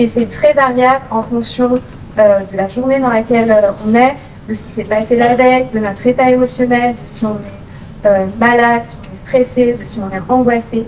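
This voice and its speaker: A woman at a moderate pace, fairly high in pitch, with monotone, flat intonation, audible room echo and noticeable background noise. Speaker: occupational therapist. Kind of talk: conference talk. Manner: many filler hesitations (euh).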